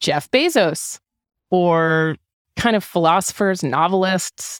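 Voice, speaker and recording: A woman with an American accent uses a fairly low pitch and ordinary pitch variation, in a dry, close sound with no echo on a very clean recording with a silent background. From US Northeast, Hanover, New Hampshire. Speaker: writer and podcaster. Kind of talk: casual chat.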